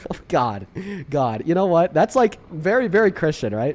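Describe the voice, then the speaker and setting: An animated man at a moderate pace, very wide pitch swings, noticeable background noise. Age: 20s. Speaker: political debate streamer. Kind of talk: heated debate; casual chat. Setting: livestream on TikTok.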